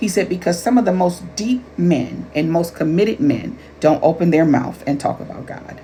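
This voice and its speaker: A woman's fairly low voice with lively intonation and hardly any pauses, over noticeable background noise. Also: moderate pace. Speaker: life coach and author. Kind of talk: casual talk to camera.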